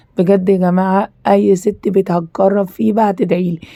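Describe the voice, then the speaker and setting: With an Egyptian accent, a woman talks at a moderate pace, her medium-pitched voice dark and mellow in tone. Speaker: cooking and home YouTuber. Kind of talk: product review. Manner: animated.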